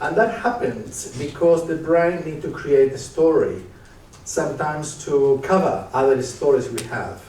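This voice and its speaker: A man with an Argentinian accent speaks at a moderate pace in a fairly high pitch. Noticeable background noise and audible room echo fill the recording. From Argentina, Córdoba and Buenos Aires. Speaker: psychiatrist and leadership speaker. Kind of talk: live stage interview. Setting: stage with audience.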